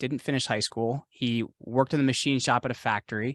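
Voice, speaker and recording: A man with an American accent talks fairly quickly at medium pitch with a bright, sharp tone. The sound is dry and close, with no echo. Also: quiet background. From northwest New Jersey. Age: 30s. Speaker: podcast host guest. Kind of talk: casual interview chat.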